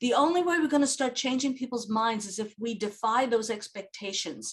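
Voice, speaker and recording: A woman speaks in a normal speaking voice at a fairly quick pace, her pitch fairly high with ordinary variation. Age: 60s. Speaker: social gerontologist. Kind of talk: interview.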